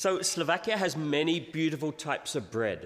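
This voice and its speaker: Speaking at a moderate pace, a man with a fairly high pitch shows vocal fry. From England. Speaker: visiting pastor. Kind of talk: sermon with interpreter. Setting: church. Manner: pausing phrase by phrase for interpretation.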